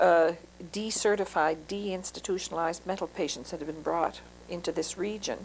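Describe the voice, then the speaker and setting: A woman with a Maritime Canadian accent talks at a moderate pace, her fairly low pitch carrying fairly even intonation. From Moncton, New Brunswick, Canada. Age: 50s. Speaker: social worker. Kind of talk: oral history interview. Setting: interviewee's home. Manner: hesitant, many fillers.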